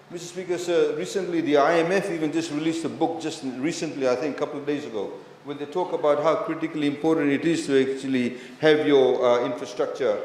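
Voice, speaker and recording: Over noticeable background noise and audible room echo, a man talks at a very fast pace with a fairly high pitch and fairly even intonation. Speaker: government minister in parliament. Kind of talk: parliamentary debate speech. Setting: parliament chamber.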